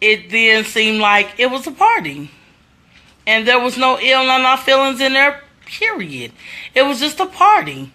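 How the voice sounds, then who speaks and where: Her voice is high, bright and sharp, raised and projected. This woman sounds animated, with lively intonation. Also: moderate pace. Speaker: social media commentator. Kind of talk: casual livestream commentary. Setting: Facebook live stream at home. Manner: loud.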